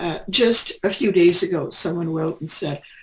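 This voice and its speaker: With a Midwestern accent, a woman speaks at a moderate pace in a somewhat breathy voice with ordinary pitch variation. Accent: General American (Midwest). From Kansas, US Midwest. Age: 70s. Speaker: retired nurse. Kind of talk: interview. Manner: halting, with many fillers.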